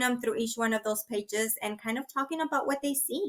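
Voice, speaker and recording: A high-pitched woman with a Spanish accent and ordinary pitch variation. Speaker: early childhood education trainer. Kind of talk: webinar Q&A. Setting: online webinar.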